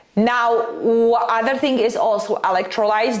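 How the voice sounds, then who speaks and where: A woman with a non-native accent speaks amid audible room echo and noticeable background noise. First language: not English. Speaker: nutrition and fat loss coach. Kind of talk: casual vlog advice talk. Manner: many fillers (um, uh, like).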